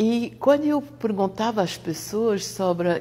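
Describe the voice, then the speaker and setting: Her intonation is lively. The woman's voice is somewhat breathy. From France. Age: 60s. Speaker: therapist. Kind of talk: testimony. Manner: halting.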